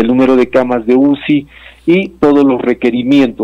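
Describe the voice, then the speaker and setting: The recording of this man's voice is dry, with no echo. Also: quiet background. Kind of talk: interview answer. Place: office. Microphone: video call.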